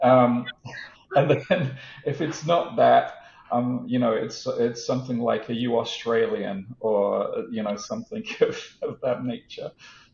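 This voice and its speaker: Noticeable background noise behind a man with an American accent at a fairly slow pace. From England. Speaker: tech executive. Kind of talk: interview. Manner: halting, many repeated words.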